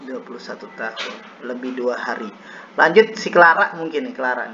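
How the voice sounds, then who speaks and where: A man at a medium pitch with very wide pitch swings and big swings in loudness, amid audible room echo and noticeable background noise. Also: moderate pace. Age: 20s. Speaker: university student doing peer teaching, acting as teacher. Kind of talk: classroom lesson roleplay. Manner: casual, joking.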